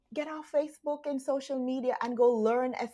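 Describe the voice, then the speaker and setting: A woman with a Jamaican accent talks at a fairly slow pace and a high pitch. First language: Jamaican Patois. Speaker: online business coach. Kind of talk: motivational talk to camera. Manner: casual.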